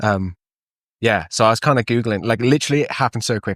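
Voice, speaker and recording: A man with a Welsh accent talks at a medium pitch. The sound is dry and close with no echo, on a very clean recording with a silent background. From Wales, Llandrindod area. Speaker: ski patroller and photographer. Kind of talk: casual chat. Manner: casual, lots of fillers.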